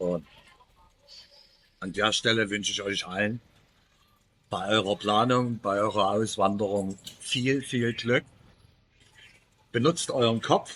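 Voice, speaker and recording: Very slow and broken by long, frequent pauses, the speech has a bright, sharp tone and ordinary pitch variation. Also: man, fairly low pitch for a man. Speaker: YouTuber, expat remote worker. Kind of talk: casual vlog monologue. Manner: unscripted, with many filler pauses.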